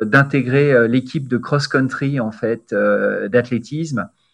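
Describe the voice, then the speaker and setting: Very slowly, a man speaks at a medium pitch. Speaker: sports journalist turned corporate spokesman. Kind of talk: interview conversation.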